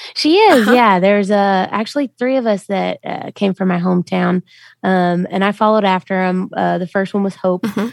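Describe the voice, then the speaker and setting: In a Southern US accent, the speaker moves at a fairly quick pace with ordinary pitch variation on a very clean recording with a silent background. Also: woman, medium pitch for a woman, dry, close sound with no echo. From US South, Memphis, Tennessee. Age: 20s. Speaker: country singer. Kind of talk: interview.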